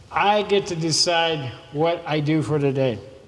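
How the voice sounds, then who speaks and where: A man talks while background noise is clearly noticeable behind him. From southern California. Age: 60s. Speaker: motivational speaker. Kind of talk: motivational speech. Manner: casual.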